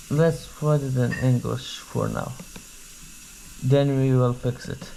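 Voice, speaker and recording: In a Kurdish accent, the speaker goes at a very slow pace against noticeable background noise. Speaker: tech unboxing vlogger. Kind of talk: casual unboxing commentary.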